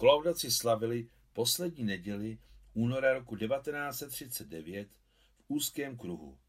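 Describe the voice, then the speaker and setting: At a very slow pace, a man with a medium pitch speaks with lively intonation. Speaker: audiobook narrator. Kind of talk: literary audiobook reading of a novel chapter. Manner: measured, even narrative pace with a storyteller's gravity.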